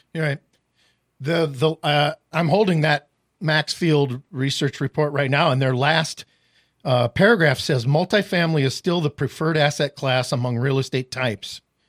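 Speaking with an Upper Midwest accent, a man has a fairly high pitch and ordinary pitch variation at a moderate pace. The recording is very clean and the background silent. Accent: Upper Midwest American. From northwest Iowa. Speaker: real estate podcast host. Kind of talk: casual chat.

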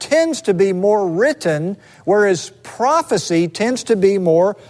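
The intonation rises and falls in a lively way. It is read aloud in a natural voice.

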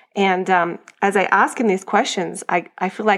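With an American accent, a woman speaks at a medium pitch with vocal fry. Her intonation is monotone and flat. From Australia. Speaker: homeschooling mom. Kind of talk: casual chat.

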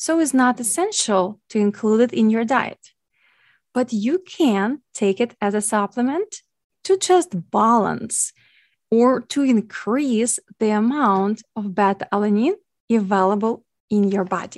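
With a Ukrainian accent, a woman speaks fairly slowly at a fairly high pitch with lively intonation, the sound dry and close with no echo against a quiet background. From Ukraine. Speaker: podcast host and nutrition coach. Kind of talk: educational podcast monologue.

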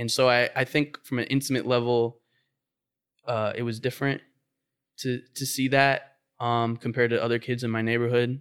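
A man speaks at a medium pitch in a monotone, flat delivery with long, frequent pauses, over a very clean, silent background. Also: moderate pace. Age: 20s. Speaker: artist and painter. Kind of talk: casual interview. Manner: halting.

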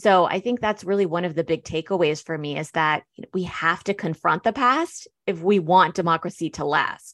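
A woman with a General American accent speaks at a moderate pace in a fairly low pitch. Her pitch varies in an ordinary way against a quiet background. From US, born in Germany to Iranian parents. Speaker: sociology professor and author. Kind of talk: interview.

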